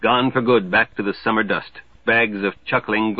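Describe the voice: Someone does plain reading aloud here.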